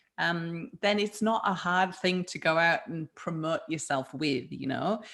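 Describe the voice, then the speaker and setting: Recorded very cleanly against a silent background, a woman speaks at a fairly slow pace and fairly low pitch. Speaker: food business founder and health coach. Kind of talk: interview. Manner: animated.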